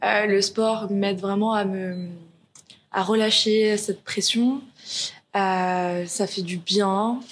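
The delivery is very slow, with long, frequent pauses and fairly even intonation. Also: woman, medium pitch for a woman. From Paris suburbs, France. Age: 20s. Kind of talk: interview. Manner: halting, many hesitations.

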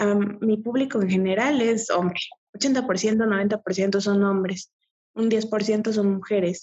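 At a very slow pace, a woman speaks with a medium pitch and a somewhat breathy voice. Her intonation stays fairly even and her loudness very even. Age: 20s. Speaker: adult content creator and nursing student. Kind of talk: casual interview.

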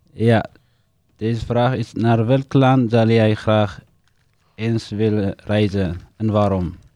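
Very slowly and with long, frequent pauses, a man speaks in an Eritrean accent. His voice is fairly low in pitch with a dark, mellow tone and fairly even intonation. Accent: Eritrean-accented Dutch. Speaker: refugee living in the Netherlands. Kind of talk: casual interview, guided by a card game.

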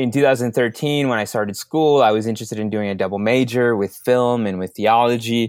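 A man talks at a fairly quick pace and medium pitch, with fairly even intonation and hardly any pauses. The sound is dry and close with no echo, and the recording is very clean with a silent background. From Minneapolis, Minnesota (moved from Mexico at seven). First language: Spanish. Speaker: social media strategist. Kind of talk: interview.

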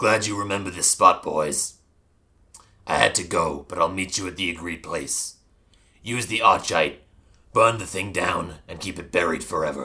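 A man speaks in a put-on character voice that is raspy and very deep, at a moderate pace with long, frequent pauses. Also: big swings in loudness. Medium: actual play. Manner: curt.

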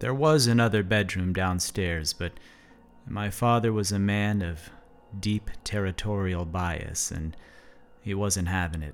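With music in the background, the speaker goes at a fairly slow pace with ordinary pitch variation. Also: man, fairly low pitch for a man. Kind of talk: ghost story told in first person, solemn personal narration. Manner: hushed, slow and measured, building eerie suspense; reflective and earnest.

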